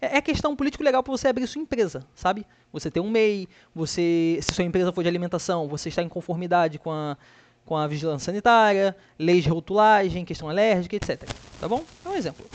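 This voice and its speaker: A man talks very fast in a high pitch, his intonation lively. The background is quiet. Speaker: student tutor. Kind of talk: tutorial. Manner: casual, halting.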